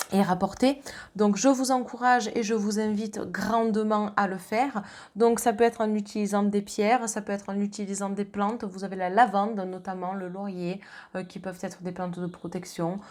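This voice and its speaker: Using a normal speaking voice, a woman talks at a medium pitch and moderate pace with fairly even intonation. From southern France. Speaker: medium and tarot reader. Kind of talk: astrology card reading.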